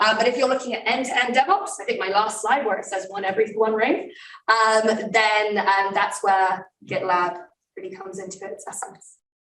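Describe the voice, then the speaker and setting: Her voice sits fairly high, and the woman's loudness swings widely. There is audible room echo. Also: ordinary pitch variation. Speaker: tech company security presenter. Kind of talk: conference talk Q&A. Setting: live event with in-person and online audience. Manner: fast.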